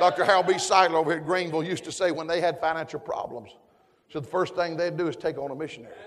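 A man speaks very fast with an animated tone and a Southern US accent. His pitch is high, and there is noticeable background noise. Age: 60s. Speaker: preacher. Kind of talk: sermon. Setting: church with congregation. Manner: animated, fervent preaching with call-and-response.

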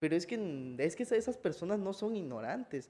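A man with a high voice speaks with very wide pitch swings. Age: 20s. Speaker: historian. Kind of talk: casual conversational interview. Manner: hesitant, repeats words.

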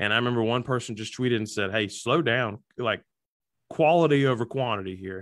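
A man's fairly quick speech in a normal speaking voice, medium in pitch with ordinary pitch variation. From Alabama, US South. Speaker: comedian and social media content creator. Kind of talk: casual interview chat. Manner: humorous, self-deprecating.

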